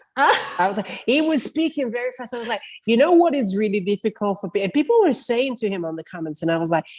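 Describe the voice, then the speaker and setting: A woman's fairly high voice at a very fast pace, with very wide pitch swings and hardly any pauses. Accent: Italian. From Italy. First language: Italian. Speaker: podcaster and video marketing creator. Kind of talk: casual interview chat. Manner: fast, animated.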